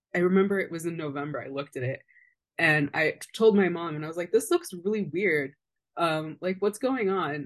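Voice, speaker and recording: With an unremarkable speaking voice, a woman talks at a fairly quick pace and fairly low pitch with ordinary pitch variation against a quiet background. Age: 20s. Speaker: public health advocate living with lupus. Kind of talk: casual interview conversation.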